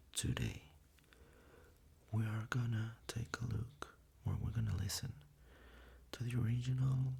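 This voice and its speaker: Soft-spoken delivery unfolds at a fairly slow pace. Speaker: ASMR creator. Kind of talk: casual intro to camera.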